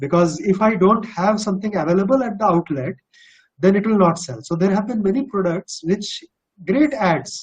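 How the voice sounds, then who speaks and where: A man with a slight Bihari accent talks at a moderate pace in a high voice with ordinary pitch variation. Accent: slight Bihari Indian English. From India, Bihar. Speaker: corporate executive. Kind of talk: webinar Q&A.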